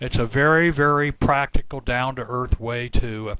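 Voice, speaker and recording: A man with an unremarkable speaking voice talks at a moderate pace in a fairly high pitch. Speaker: software company representative. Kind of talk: product presentation.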